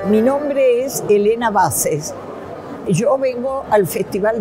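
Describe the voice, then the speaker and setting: A woman speaks at a very slow pace. Faint music plays in the background. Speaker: festival-goer. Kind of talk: interview testimony. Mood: warm, nostalgic. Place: studio.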